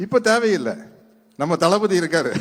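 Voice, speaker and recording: Lively intonation runs through this man's speech. His voice is high-pitched. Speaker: guest speaker at political event. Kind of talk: public speech.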